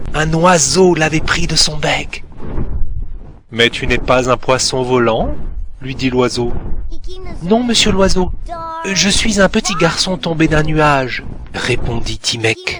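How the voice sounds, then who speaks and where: The speaker goes at a very slow pace with lively intonation, long and frequent pauses, and noticeable background noise. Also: man, fairly high pitch for a man. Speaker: storyteller. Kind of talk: read story. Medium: cartoon.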